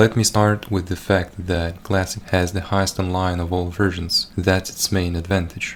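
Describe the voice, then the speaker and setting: A man speaks in a very deep, low voice with a Russian accent. His intonation stays monotone and flat. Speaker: gaming YouTuber. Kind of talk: scripted commentary over gameplay. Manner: reading from a script.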